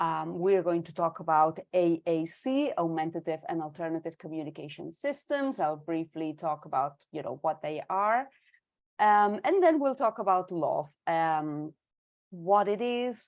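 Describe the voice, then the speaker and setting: A woman with a Spanish accent, fairly low in pitch, with lively intonation at a fairly slow pace against a quiet background. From Spain, Barcelona. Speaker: education consultant and signing tutor. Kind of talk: online presentation. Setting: video call webinar.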